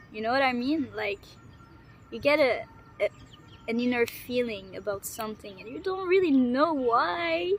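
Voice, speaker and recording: Against background music, a woman with a high voice speaks at a moderate pace, her pitch swinging very widely and her loudness shifting a great deal. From Lebanon. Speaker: vlogger. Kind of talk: casual monologue. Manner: halting, self-correcting.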